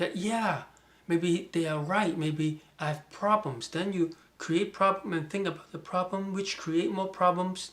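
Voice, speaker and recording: Moderate pace, ordinary pitch variation, and a Chinese accent. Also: man. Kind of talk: casual talk to camera.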